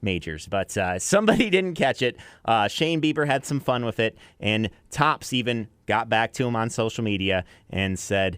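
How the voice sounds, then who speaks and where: A man's medium-pitched, ordinary speaking voice with lively intonation at a moderate pace, in a dry, close sound with no echo. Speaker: country radio DJ, afternoon drive host. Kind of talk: radio show host patter. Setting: radio station broadcast. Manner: upbeat, chatty.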